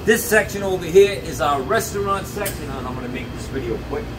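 Noticeable background noise sits under the man's voice. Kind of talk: promotional store tour. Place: shop. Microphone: camera far.

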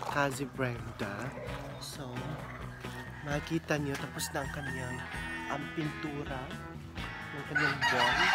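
Over loud background music, a woman speaks at a fairly slow pace with long, frequent pauses. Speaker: vlogger. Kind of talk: casual vlog chat. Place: garden. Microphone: phone near.

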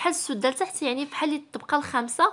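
Against a quiet background, a woman speaks with a Moroccan accent in a bright, sharp tone with ordinary pitch variation. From Morocco. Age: 20s. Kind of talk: casual vlog narration.

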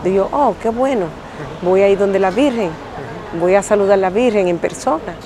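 A woman talks at a moderate pace with a medium pitch, ordinary pitch variation and very even loudness, leaving long, frequent pauses. The sound is dry with no echo, though noticeable background noise is present. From Dominican Republic. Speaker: pilgrim. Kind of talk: testimony. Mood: earnest, passionate. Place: street. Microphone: lapel.

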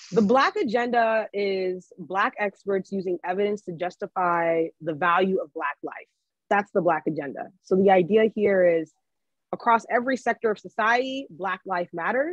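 Recorded dry with no echo against a quiet background, a woman with an American accent speaks at a moderate pace, her pitch varying in an ordinary way. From Maryland, US. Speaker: economist and book editor. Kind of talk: virtual book talk interview. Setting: video call. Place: home room. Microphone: video call.

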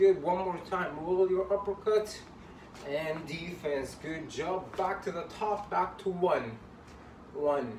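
A man's upbeat, high-pitched voice with ordinary pitch variation, at a very slow pace with long, frequent pauses, with audible room echo and light background noise. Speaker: boxing fitness coach. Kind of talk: led workout instruction, counting out reps and punch combos. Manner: upbeat, encouraging coach, rhythmic counting with constant praise; pushes hard, urgent repeated commands. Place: home room. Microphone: camera far.

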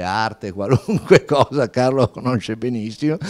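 In a moderate tempo, a man talks with pitch that shifts in an ordinary way. Behind him, the background stays quiet. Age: 60s. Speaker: fashion entrepreneur; company founder on a panel. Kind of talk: panel talk. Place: hall. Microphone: handheld.

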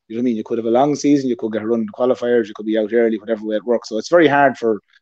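A man's dark, mellow voice at a very fast pace, fairly even in intonation, against a quiet background. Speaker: remote guest. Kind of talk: interview answer. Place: home room. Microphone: earbuds.

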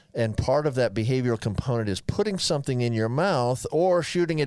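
Over a quiet background with a dry sound and no echo, a man at medium pitch makes very wide pitch swings. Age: 60s. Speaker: physician co-host. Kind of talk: casual chat; medical explanation. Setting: studio. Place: studio. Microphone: studio mic.

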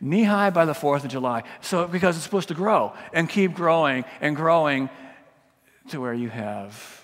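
A man speaks at a moderate pace, and his intonation is lively. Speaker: pastor. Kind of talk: sermon. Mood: warm, lightly humorous. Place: church.

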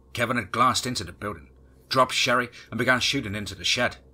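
An unforced reading voice keeps its intonation fairly even.

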